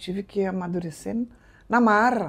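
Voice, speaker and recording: Against a quiet background, a woman with a dark, mellow tone speaks with ordinary pitch variation. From southern Brazil, Rio Grande do Sul. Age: 60s. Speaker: business owner. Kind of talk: interview.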